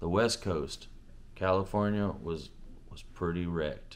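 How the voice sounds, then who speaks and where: A man's very deep, low voice, fairly slow, with fairly even intonation and audible room echo. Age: 30s. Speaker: preacher. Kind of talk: testimony.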